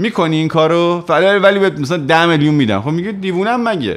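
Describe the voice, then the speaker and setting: The speaker is a man with a high pitch. His intonation is lively. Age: 30s. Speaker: music youtuber and musician; music youtuber. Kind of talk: personal monologue to camera. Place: home room. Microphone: studio mic.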